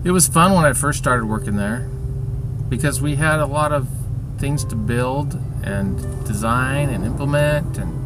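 A man talks at a moderate pace with long, frequent pauses and ordinary pitch variation. Music plays in the background, and the sound is dry with no echo. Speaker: vlogger. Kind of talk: casual vlog chat. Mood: weary, complaining. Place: car. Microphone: phone near.

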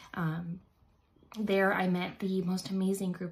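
A woman's fairly low, somewhat breathy voice with an American accent, at a fairly slow pace and with monotone, flat intonation. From North Attleboro, Massachusetts. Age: 20s. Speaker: mother. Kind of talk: personal testimonial to camera. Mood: earnest, emotional, reflective. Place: bathroom. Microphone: phone near.

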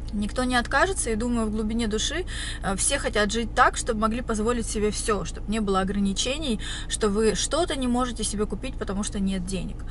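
A woman talks at a very fast pace in a dry sound with no echo, with light background noise behind her. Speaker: vlogger. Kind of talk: casual vlog chat. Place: car. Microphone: phone near.

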